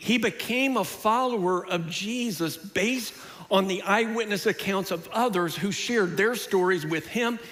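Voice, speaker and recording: Over noticeable background noise and audible room echo, a man speaks at a moderate pace in a high pitch with ordinary pitch variation. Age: 60s. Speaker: pastor. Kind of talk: sermon.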